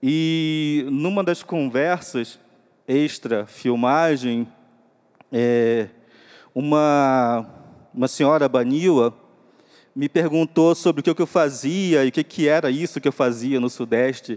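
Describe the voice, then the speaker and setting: On a very clean recording with a silent background, a man with a fairly high pitch talks at a very slow pace with long, frequent pauses and ordinary pitch variation. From Upper Rio Negro, northwest Amazon, Brazil. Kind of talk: panel talk. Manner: halting.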